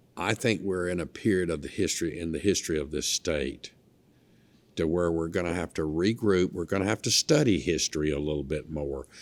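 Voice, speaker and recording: A man with a Mississippi accent and a very deep, low pitch, fairly quick in pace with ordinary pitch variation, on a very clean recording with a silent background. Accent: Mississippi Southern. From US South, northeast Mississippi (Lee County). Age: 60s. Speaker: former state legislator. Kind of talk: interview. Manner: animated.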